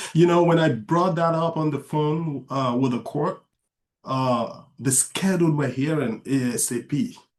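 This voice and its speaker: A man talks at a fairly high pitch with ordinary pitch variation. His pace is fairly slow. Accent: non-native. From outside the US, immigrant. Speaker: author and father. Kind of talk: interview conversation.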